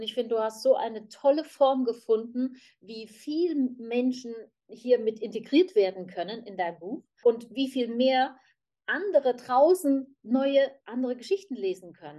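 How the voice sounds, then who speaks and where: A woman's high-pitched voice with a dark, mellow tone, lively intonation, a fairly slow pace and big swings in loudness. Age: 50s. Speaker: human design practitioner. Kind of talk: group conversation.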